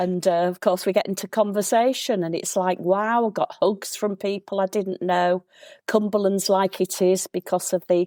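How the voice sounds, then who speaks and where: A woman with a Yorkshire accent, medium pitch and dark, mellow tone at a moderate pace, dry and close with no echo, very clean recording over a silent background. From Yorkshire, England. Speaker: local historian. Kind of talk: casual interview chat. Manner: animated.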